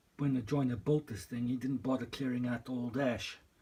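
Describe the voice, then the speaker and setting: Speaking at a moderate pace and a medium pitch, a man sounds somewhat breathy, his intonation fairly even. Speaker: cabin renovator. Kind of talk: casual vlog talk to camera.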